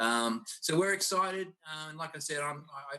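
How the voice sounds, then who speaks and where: A man with an Australian accent. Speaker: college basketball coach. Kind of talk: video panel interview. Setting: video call.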